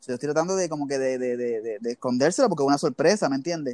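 Speaking at a very fast pace in a Puerto Rican accent, a man uses ordinary pitch variation, and the sound is dry and close with no echo. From Puerto Rico, Levittown. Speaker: basketball team equipment manager. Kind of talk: interview. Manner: halting, many fillers.

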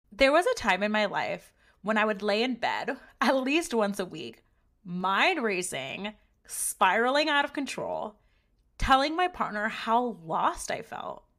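Loud and bright with a sharp edge, a woman's fairly high voice makes very wide pitch swings on a very clean recording with a silent background. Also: fairly slow pace. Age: 30s. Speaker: podcast host. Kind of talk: scripted narration.

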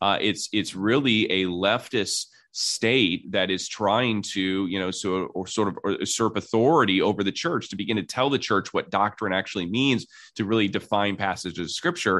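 A man's fairly low voice at a moderate pace, ordinary pitch variation, and a quiet background. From US Midwest (Indiana). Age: 40s. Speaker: pastor and author. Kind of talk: interview.

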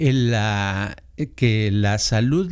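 A man talks with lively intonation. His recording is very clean, and the background is silent. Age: 70s. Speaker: podcast host. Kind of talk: casual chat.

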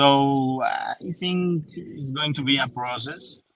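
Speaking with a Spanish accent, a man moves at a very slow pace. His pitch varies in an ordinary way. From Colombia. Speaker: football journalist. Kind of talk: casual chat. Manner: halting.

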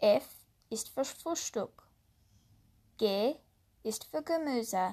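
Pitched fairly high, a woman speaks at a very slow pace. The recording is very clean, with a silent background. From USA. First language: English (speaking German). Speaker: language learning podcaster. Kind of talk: tutorial.

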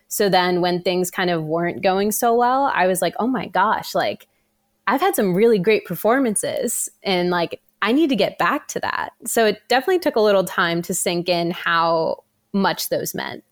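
A woman with an American accent has an ordinary speaking voice, moving at a moderate pace with lively intonation. The recording is very clean, with a silent background. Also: medium pitch for a woman. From US, New Jersey. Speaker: professional runner. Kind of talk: interview, casual.

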